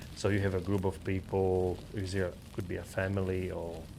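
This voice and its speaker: Moving at a moderate pace, a man speaks in a very deep, low voice. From Slovakia. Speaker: podcast co-host. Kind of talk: casual chat. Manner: halting.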